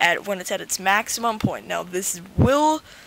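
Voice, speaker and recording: A medium-pitched female voice comes through noticeable background noise. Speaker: gaming youtuber. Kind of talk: tutorial. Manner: stuttering, halting; casual, filler-heavy.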